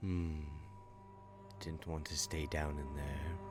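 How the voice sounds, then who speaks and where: Clear music plays in the background while a man uses a put-on character voice at a fairly slow pace. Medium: actual play. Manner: excitable, fretful.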